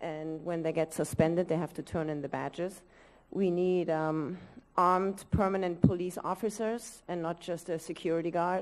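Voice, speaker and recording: Fairly even intonation and a moderate pace from a woman with a fairly low pitch. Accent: non-native. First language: not English. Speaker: parent speaking at public meeting. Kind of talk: public comment. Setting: school board meeting.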